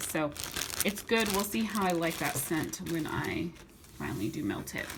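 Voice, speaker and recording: Amid noticeable background noise and audible room echo, a woman speaks with lively intonation at a fairly low pitch. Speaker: YouTuber reviewing wax melts. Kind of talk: haul video. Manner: fast; stumbling over words.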